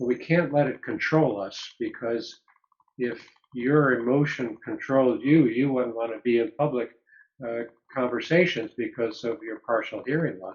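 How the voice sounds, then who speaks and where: A normal speaking voice from a man with an American accent, at medium pitch and moderate pace, with ordinary pitch variation. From upstate New York. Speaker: psychologist. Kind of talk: interview.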